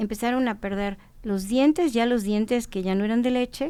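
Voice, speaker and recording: A woman with a fairly high pitch and a dark, mellow tone speaks at a moderate pace with ordinary pitch variation, recorded very cleanly over a silent background. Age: 60s. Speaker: traditional food knowledge expert. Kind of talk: podcast conversation. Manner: halting.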